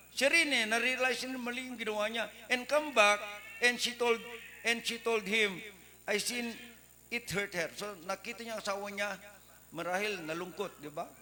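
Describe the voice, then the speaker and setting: With noticeable background noise behind him, a man uses a raised, projected voice at a high pitch with ordinary pitch variation and long, frequent pauses. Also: moderate pace. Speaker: preacher. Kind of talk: sermon. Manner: loud.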